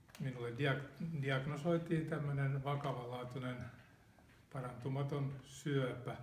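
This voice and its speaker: Amid audible room echo, a man with a fairly high pitch talks at a very slow pace, somewhat breathy, with monotone, flat intonation. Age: 70s. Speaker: retired automotive engineer, cancer patient. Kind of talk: interview testimony. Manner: halting, with repetitions and fillers. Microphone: poorly audible audio track.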